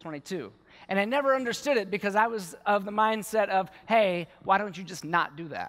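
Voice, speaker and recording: A high-pitched man with an American accent, moderate pace, ordinary pitch variation and big swings in loudness, against a quiet background. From Baltimore, US. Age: 40s. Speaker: war veteran and yoga teacher. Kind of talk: conference talk. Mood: earnest, personal storytelling. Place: stage. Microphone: headset.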